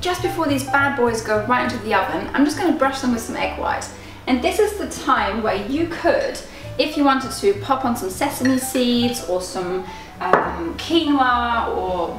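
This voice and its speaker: Over clear background music, a woman talks at a moderate pace in a high pitch, with audible room echo. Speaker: channel host. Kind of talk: cooking tutorial. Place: kitchen. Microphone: camera far.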